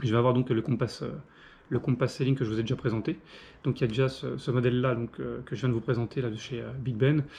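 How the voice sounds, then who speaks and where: Speaking at a fairly quick pace, a man at a medium pitch shows ordinary pitch variation, a dark, mellow tone, and vocal fry. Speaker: pipe and cigar reviewer. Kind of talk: casual product review monologue. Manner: fast; hesitant, many fillers.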